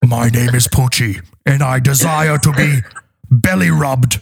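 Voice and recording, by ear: Using a put-on character voice, a man speaks in a raspy way. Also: medium pitch for a man, moderate pace.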